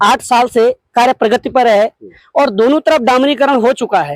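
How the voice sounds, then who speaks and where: A man with an extremely high pitch. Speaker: local public representative. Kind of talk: on-site interview.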